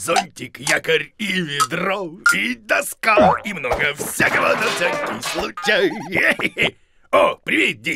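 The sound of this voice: In a cartoonish character voice, a man talks at a slow pace with a high pitch, big pitch swings, vocal fry and a bright, sharp tone, while faint music plays in the background.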